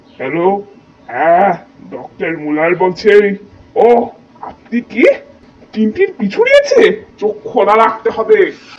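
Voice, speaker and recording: A female-sounding put-on character voice speaks at a fairly slow pace and a fairly high pitch. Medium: fan dub. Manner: smug, controlled.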